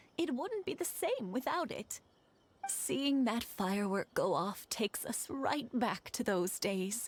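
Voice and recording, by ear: Using a put-on character voice with a slightly husky edge, the speaker talks at a slow pace with big pitch swings. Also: woman, fairly high pitch for a woman.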